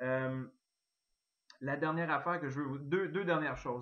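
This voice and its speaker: Fairly even intonation from a man pitched fairly high. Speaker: network marketing distributor. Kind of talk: sales pitch.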